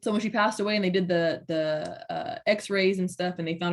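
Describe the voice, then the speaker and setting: The speaker has a plain, everyday voice with an American accent and fairly even intonation, moving at a fairly quick pace. The recording is very clean, with a silent background. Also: woman. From Southern California. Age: 30s. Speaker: city council member and mother. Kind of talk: interview.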